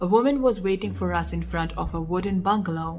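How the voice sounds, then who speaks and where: Music plays behind a woman who talks at a fairly quick clip. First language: not English. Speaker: storyteller. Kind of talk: reading aloud.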